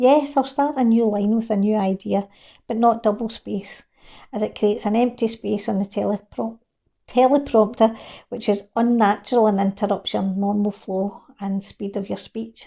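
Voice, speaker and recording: The speaker has a strong Glasgow accent. The pace is moderate. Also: woman. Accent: broad Glasgow. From Scotland, Glasgow. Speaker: video creation coach. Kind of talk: reading from teleprompter, tutorial.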